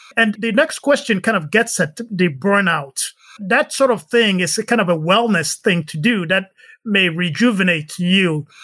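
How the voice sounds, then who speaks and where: At a moderate pace, a man uses a raised, projected voice pitched high. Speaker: podcast host and spine surgeon. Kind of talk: interview.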